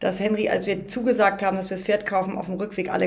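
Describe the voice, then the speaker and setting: The speaker is a woman with a medium pitch. Audible room echo surrounds her voice. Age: 50s. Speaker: riding instructor and mother of host. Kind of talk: casual chat.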